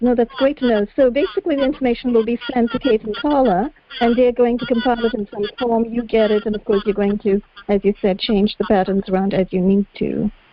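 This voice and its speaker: Fairly high-pitched female voice, ordinary pitch variation, a fairly quick pace, and noticeable background noise. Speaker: activist asking questions. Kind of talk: panel Q&A. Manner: fast.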